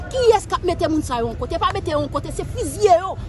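Speech races at a very fast pace with very wide pitch swings. The sound is dry with no echo, and crowd noise runs in the background. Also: woman. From Haiti. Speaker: street spokesperson. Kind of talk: political rant. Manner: animated. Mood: angry, indignant. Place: garden.

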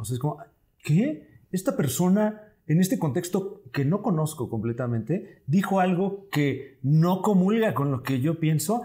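A man in a Mexican accent, high pitch, lively intonation and a fairly slow pace, over a quiet background. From Mexico. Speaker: comedian and scriptwriter; podcast guest. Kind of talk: casual chat. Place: studio. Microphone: lapel.

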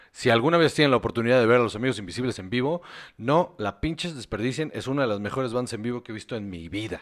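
Talking at a very fast pace with big swings in loudness, a man with a Mexican accent keeps a medium pitch and ordinary pitch variation. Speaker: podcast co-host. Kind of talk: casual chat. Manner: animated.

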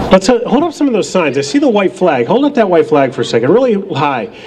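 Loud, with very wide pitch swings, the voice comes through over light background noise. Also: man. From New Hampshire. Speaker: rally emcee. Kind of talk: rally speech. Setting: outdoor rally with crowd. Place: street. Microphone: podium.

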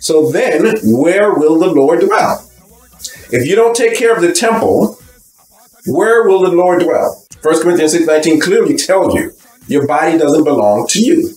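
A man talks at a fairly slow pace with audible room echo and faint music in the background. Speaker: bible teacher. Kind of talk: sermon. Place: home room. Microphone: webcam.

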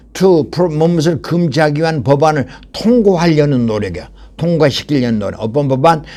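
A man speaks at a moderate pace in a fairly high pitch, with a dark, mellow tone. His intonation is lively, and audible room echo surrounds him. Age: old. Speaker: English lecturer. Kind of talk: lecture. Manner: halting.

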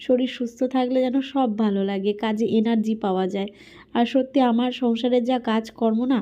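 A dark, mellow tone with fairly even intonation comes through over a quiet background. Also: woman, fairly high pitch for a woman. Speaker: homemaker vlogger. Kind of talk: casual vlog narration.

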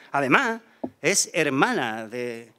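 A man speaks in a bright, sharp tone. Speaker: presenter introducing the pregonero. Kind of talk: formal introduction with poetic verse reading. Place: stage. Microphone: podium.

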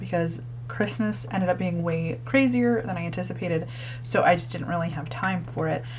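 A woman speaks quietly at a fairly quick pace amid noticeable background noise. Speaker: book reviewer. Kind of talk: casual talk to camera.

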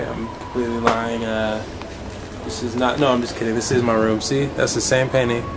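A man keeps a moderate speed while music plays behind him. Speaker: vlogger. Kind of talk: casual vlog chat.

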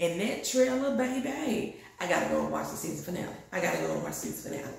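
This woman talks at a fairly quick pace. The room's echo can be heard. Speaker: TV show reviewer. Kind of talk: casual vlog chat. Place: bathroom. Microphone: phone near.

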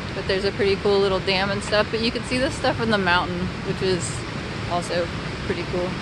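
Amid loud background noise, a woman speaks at a very fast pace, the sound dry with no echo. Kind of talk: casual vlog chat. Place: street. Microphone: phone near.

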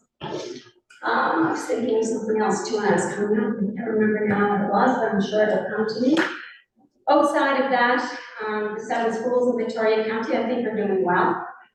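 Over audible room echo, a woman talks at a fairly quick pace with a fairly high pitch and ordinary pitch variation. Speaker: school board official presenting to council. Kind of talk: council meeting presentation. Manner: halting, many fillers.

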